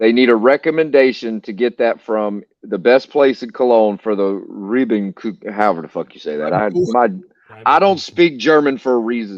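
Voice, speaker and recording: A man's lively intonation in a Southern US accent, with big swings in loudness. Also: medium pitch for a man, moderate pace. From US South, North Carolina. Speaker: podcast host. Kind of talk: casual chat. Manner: animated.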